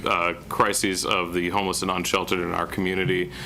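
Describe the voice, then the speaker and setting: Against noticeable background noise, a man with a very deep, low pitch talks at a fairly quick pace. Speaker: city planning director. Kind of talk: public meeting presentation. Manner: monotone.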